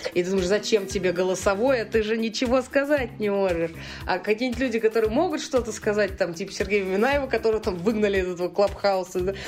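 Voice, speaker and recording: A woman is talking at a very fast pace. Her pitch variation is ordinary. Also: medium pitch for a woman. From Russia, St Petersburg. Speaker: bar industry event organizer. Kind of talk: casual chat. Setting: remote call.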